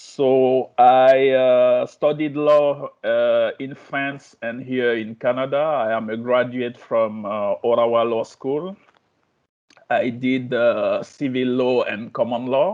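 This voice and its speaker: Fairly even intonation marks this speech, delivered at a very slow pace. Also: man, medium pitch for a man. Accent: French. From Guinea, West Africa. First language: French. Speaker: law lecturer. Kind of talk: self-introduction. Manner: halting.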